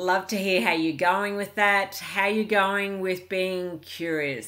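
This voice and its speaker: A very slow pace with hardly any pauses, ordinary pitch variation and an Australian accent. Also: woman. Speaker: relationship coach vlogger. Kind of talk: casual vlog monologue. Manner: calm, peaceful.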